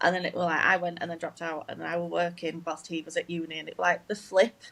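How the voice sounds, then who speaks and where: A woman speaks with a strong Yorkshire accent and a fairly low pitch. Her intonation is monotone and flat, with vocal fry. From northern England, Leeds, Yorkshire. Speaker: game development graduate. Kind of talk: casual chat.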